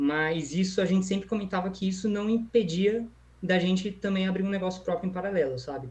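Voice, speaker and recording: A man talks with ordinary pitch variation. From São Paulo state, Brazil. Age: 20s. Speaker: e-commerce entrepreneur. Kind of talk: casual interview. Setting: livestream.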